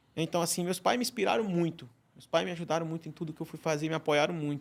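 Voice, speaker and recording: Intonation stays fairly even as a man talks in a Ceará accent. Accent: Ceará accent, still noticeable. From Ceará, Brazilian Northeast. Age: 40s. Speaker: chef. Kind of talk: podcast interview. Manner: halting, many repetitions.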